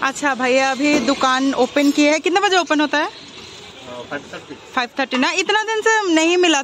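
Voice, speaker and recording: A woman at a very slow pace with very wide pitch swings, dry sound with no echo, and noticeable background noise. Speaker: food vlogger. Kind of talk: casual vlog chat. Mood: cheerful, chatty. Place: street. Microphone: phone near.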